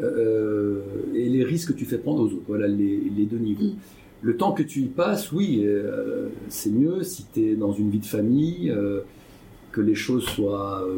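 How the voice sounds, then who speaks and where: A man with a medium-pitched, somewhat breathy voice and a dark, mellow tone speaks at a fairly slow pace with lively intonation, amid audible room echo. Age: 60s. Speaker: entrepreneur and business investor. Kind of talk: interview. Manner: halting, many hesitations.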